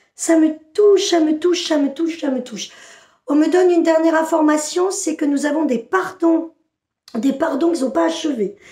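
A woman with an extremely high pitch and a dark, mellow tone speaks at a moderate pace with ordinary pitch variation. Audible room echo is present against a quiet background. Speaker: spiritual channeler. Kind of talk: channeled spiritual message. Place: home room. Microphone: phone near.

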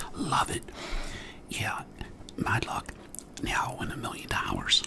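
A man whispers at a moderate pace. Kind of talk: casual vlog chat. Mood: cheerful, chatty, hopeful. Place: home room. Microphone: studio mic.

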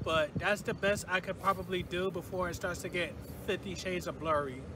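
The recording has a dry sound with no echo and noticeable background noise. A man speaks at a moderate pace. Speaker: plane spotting vlogger. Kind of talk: casual vlog chat. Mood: mildly frustrated, apologetic. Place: waterside. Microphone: phone near.

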